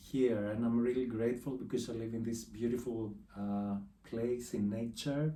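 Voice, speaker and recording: This man has a medium-pitched voice with a dark, mellow tone and a Greek accent. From Greece. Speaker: artist. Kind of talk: casual interview. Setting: his art studio.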